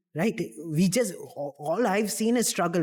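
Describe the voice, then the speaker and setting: A man's animated tone with ordinary pitch variation. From UAE (Dubai), Indian family. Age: 20s. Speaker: podcaster, finance graduate. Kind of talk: casual chat.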